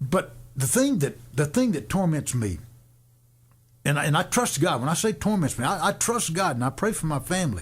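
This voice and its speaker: With very wide pitch swings and vocal fry, the voice comes through on a very clean recording with a silent background. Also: man, fairly high pitch for a man. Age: 70s. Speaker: radio host and worship leader. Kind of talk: radio talk show discussion. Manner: halting, repetitive.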